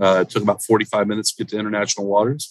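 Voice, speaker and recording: A man's very fast speech in an American accent, fairly low in pitch, with a dry, close sound and no echo. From Central Florida. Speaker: poker marketing director. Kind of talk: casual interview.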